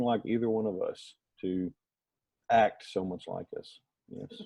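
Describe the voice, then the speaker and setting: A man with a Southern US accent speaks at a moderate pace in a dark, mellow tone. The sound is dry and close, with no echo. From US South, rural North Alabama. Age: 30s. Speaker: adoptive father. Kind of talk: casual group discussion.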